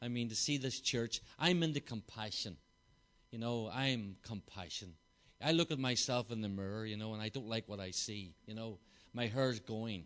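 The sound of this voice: With a Belfast accent, a man speaks at a moderate pace in a fairly low pitch, using a fairly bright tone and ordinary pitch variation. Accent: Northern Irish, Belfast.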